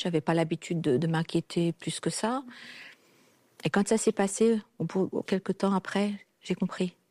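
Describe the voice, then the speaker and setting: A woman with a dark, mellow tone and medium pitch talks at a fairly slow pace with long, frequent pauses, big swings in loudness and ordinary pitch variation, on a very clean recording with a silent background and a dry, close sound with no echo. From a communist country. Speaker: guest sharing personal story. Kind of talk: testimony.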